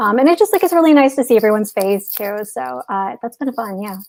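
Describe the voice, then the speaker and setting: The speaker has a strong Chicago accent. The pace is fairly quick. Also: woman. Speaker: software developer. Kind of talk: casual interview.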